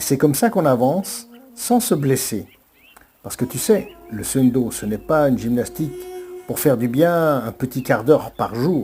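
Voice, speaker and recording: A man speaks fairly slowly at a medium pitch, leaving long, frequent pauses. His intonation is lively. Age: 60s. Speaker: martial arts and breathing teacher. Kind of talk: motivational monologue.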